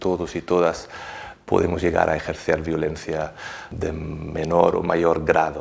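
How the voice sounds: Speaking slowly with vocal fry, a man keeps to a low pitch.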